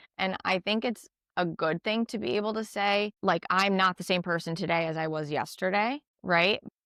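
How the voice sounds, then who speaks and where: A woman speaks at medium pitch with an American accent, a bright, sharp tone and ordinary pitch variation. The sound is dry and close, with no echo. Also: moderate pace. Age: 30s. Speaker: podcast host, single mom. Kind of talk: casual chat. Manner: animated.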